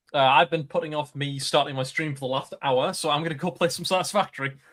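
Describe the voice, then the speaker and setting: A man speaks with a Geordie accent at a fairly quick pace. His pitch is fairly high and his intonation fairly even. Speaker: streamer. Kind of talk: casual chat.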